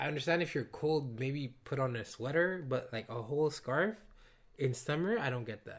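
Somewhat breathy and fairly high, a man's voice moves at a moderate pace with lively intonation. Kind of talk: casual chat.

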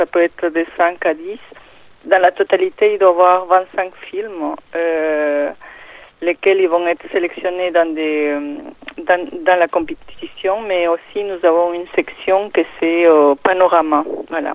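A woman's fairly low voice with a Peruvian accent, very slow and fairly even in intonation. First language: Spanish (speaking French). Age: 50s. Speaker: film festival organizer. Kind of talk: interview. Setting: phone call. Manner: halting, many hesitations.

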